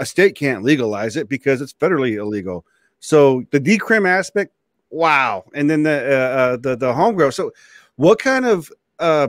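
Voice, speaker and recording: Lively intonation marks this man's speech at a moderate pace. The sound is dry with no echo, and the background is quiet. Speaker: show host. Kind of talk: interview question, casual chat. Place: home room. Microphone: video call.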